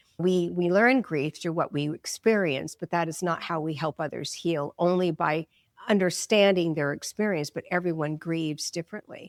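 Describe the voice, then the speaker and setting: A woman talks at a moderate pace in a plain, everyday voice, fairly low in pitch with ordinary variation. The sound is dry and close, with no echo. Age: 60s. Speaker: psychic medium and grief counselor. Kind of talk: interview.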